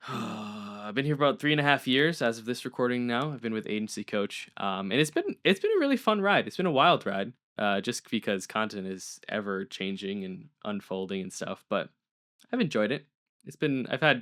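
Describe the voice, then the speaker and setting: Recorded very cleanly against a silent background, with a dry, close sound with no echo, a man of medium pitch speaks at a moderate pace with lively intonation. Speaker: podcast co-host, social media manager. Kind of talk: casual chat.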